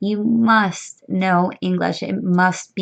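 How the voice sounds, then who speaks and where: Over a quiet background, a woman with a plain, everyday voice speaks at a medium pitch with ordinary pitch variation. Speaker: online money-making YouTuber. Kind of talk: tutorial. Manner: casual, with frequent um fillers.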